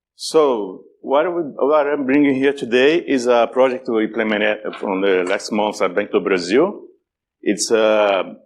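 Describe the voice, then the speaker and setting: A speaker with a strong Brazilian accent talks at a fairly slow pace with lively intonation against a quiet background. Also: man. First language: Portuguese. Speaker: cybersecurity speaker. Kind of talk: conference talk. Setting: stage with audience. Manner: halting, many repetitions.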